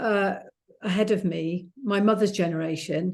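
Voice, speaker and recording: A woman with an English accent speaks at a fairly slow pace in a dark, mellow tone of medium pitch, over a quiet background. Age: 60s. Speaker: author. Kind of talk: casual chat.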